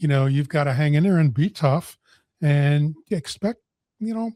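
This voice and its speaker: A somewhat breathy man's voice, fairly high in pitch with a dark, mellow tone, ordinary pitch variation and a moderate pace, in dry, close sound with no echo. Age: 60s. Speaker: podcast host and coach. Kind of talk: interview.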